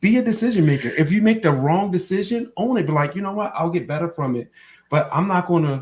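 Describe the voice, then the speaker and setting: At a very fast pace, a man speaks in an animated tone at a high pitch. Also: lively intonation. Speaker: podcast co-host. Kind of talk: casual chat.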